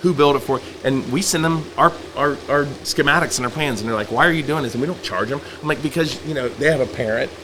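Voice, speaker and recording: A man talks very fast in a fairly high voice with ordinary pitch variation. Noticeable background noise sits behind him. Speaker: farm owner and blogger. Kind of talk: podcast interview. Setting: on location at the farm. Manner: loud.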